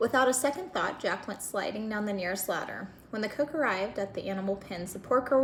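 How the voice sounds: This is a natural reading voice. It is heard in this clip.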